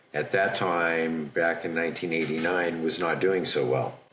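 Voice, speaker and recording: A man speaks in a very deep, low pitch with audible room echo. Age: 60s. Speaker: factoring business owner. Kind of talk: podcast interview storytelling. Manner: conversational.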